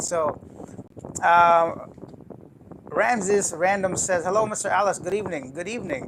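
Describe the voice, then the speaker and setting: Noticeable noise sits behind the voice. A man talks at a moderate speed. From Canada. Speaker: travel YouTuber. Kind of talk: live stream chat. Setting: live stream from apartment. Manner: casual.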